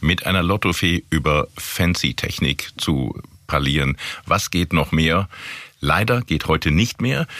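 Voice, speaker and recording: A man speaks very slowly at a very deep, low pitch, with vocal fry and a bright, sharp tone. His loudness stays very even, his pitch varies in an ordinary way, and the sound is dry and close with no echo. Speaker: podcast host, corporate communications. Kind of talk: interview podcast.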